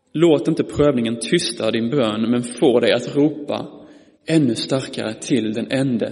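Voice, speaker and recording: A man's medium-pitched voice with vocal fry at a fairly slow pace, amid audible room echo. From Skåne, Malmö. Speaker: preacher. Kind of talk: sermon. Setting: church.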